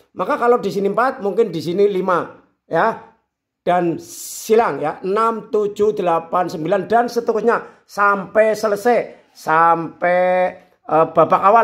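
Against a quiet background, a man speaks at a very slow pace and a high pitch. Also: ordinary pitch variation. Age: 50s. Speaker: YouTuber, sports scheduling tutorials; sports schedule vlogger. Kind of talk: tutorial. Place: home room. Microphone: phone near.

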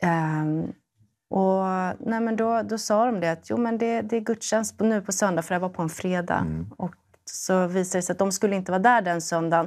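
Against a quiet background, a woman speaks at a moderate pace, her medium pitch showing ordinary variation. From Sweden. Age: 30s. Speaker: primary school teacher. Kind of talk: testimony. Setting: studio. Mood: calm, personal, reflective. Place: studio. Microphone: lapel.

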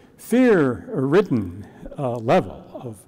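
This man's voice sits fairly high in pitch, with a dark, mellow tone and some vocal fry. The background stays quiet. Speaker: minister. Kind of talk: sermon. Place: church. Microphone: lapel.

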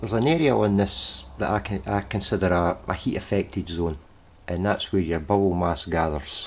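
This man talks at a moderate pace with a very deep, low pitch. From UK. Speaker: hobbyist HHO cell builder. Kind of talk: workshop demonstration talk to camera. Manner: hesitant, casual. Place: workshop. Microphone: phone near.

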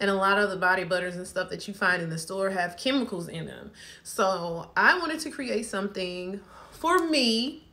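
The woman's tone is bright and sharp. Her pace stays moderate. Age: 30s. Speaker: small business owner and vlogger. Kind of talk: casual vlog product introduction. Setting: home video recording. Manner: casual, with frequent fillers. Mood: relaxed, chatty. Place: home room. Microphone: phone near.

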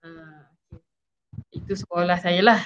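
Fairly even intonation at a moderate pace over light background noise. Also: woman. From Malaysia, Shah Alam; Malaysia. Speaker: PhD student sharing her story; guest. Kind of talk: interview testimony. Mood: friendly, smiling. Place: home room. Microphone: video call.

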